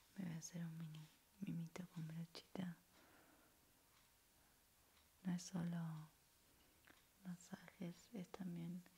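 A soft-spoken, somewhat breathy woman talks at a very slow pace in a dark, mellow tone with monotone, flat intonation. Long, frequent pauses break her speech, and light background noise sits behind it. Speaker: content creator. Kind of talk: soft-spoken ASMR self-care talk. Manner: soft-spoken intimate ASMR voice. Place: home room. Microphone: studio mic.

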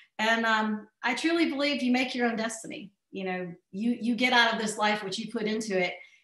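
An enthusiastic woman with a fairly high pitch and an American accent, hardly any pauses, audible room echo, and a quiet background. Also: ordinary pitch variation, fairly quick pace. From US South. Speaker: marketing company CEO; speaker. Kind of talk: webinar hosting. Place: office. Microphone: webcam.

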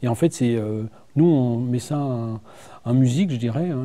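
The man's tone is dark and mellow. His pitch variation is ordinary. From northern France, Seine-Maritime (Normandy); Normandy, France. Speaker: director of a regional tourism agency; guest. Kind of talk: TV studio interview. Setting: TV studio. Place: studio. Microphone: lapel.

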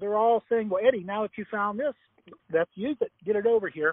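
At a moderate pace, a man with an American accent talks with a high pitch. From Ohio. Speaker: agricultural product promoter. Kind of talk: sales pitch. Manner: animated.

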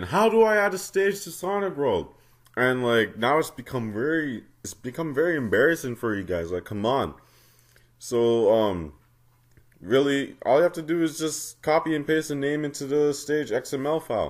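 A man talks at a fairly high pitch and a moderate pace, with very wide pitch swings. The recording is very clean, with a silent background. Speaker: fangame modding tutorial maker. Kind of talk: casual game tutorial commentary. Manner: casual, mildly exasperated.

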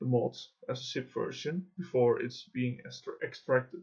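Speaking at a fairly slow pace, a man with a Dutch accent has a medium pitch and a dark, mellow tone that is somewhat breathy. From Netherlands. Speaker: gaming YouTuber and mod developer. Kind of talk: software tutorial. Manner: halting, with many fillers.

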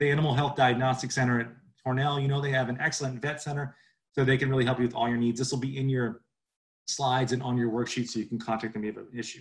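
Over a quiet background, a man talks very fast in a flat monotone, somewhat breathy. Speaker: livestock educator. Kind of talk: webinar lecture. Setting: video call. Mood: friendly, informal.

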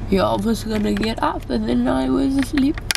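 The speech moves at a moderate pace with noticeable background noise. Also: woman. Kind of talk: casual vlog chat. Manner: drowsy, slurred, numb-mouthed speech. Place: car. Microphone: phone near.

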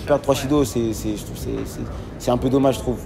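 A man talks at a medium pitch while noticeable background noise carries on around him. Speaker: judoka, olympic silver medallist. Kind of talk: post-event interview.

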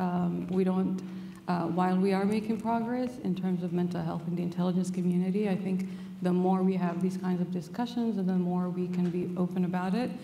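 Faint music plays in the background as a woman speaks, with audible room echo. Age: 50s. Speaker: intelligence community official, panelist; panelist. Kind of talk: panel discussion. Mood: open, reflective about mental health. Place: hall.

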